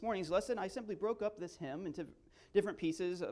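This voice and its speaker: A man speaks loudly, with ordinary pitch variation. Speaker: guest preacher. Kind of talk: sermon. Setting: church.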